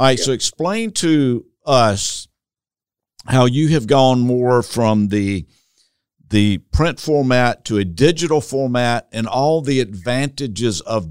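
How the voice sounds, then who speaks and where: A man with a Southern US accent speaks fairly slowly at a medium pitch, his intonation lively and his loudness swinging widely. The recording is very clean with a silent background and a dry, close sound with no echo. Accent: Southern US drawl. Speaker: church consultant podcast host. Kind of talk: interview, podcast conversation. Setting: video podcast recording.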